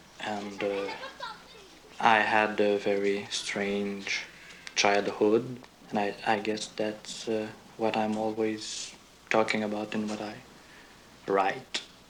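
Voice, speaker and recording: A man's fairly low, flat monotone at a very slow pace, with long, frequent pauses, audible room echo and music in the background. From Quebec, east-end Montreal. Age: 30s. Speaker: playwright. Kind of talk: interview. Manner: halting.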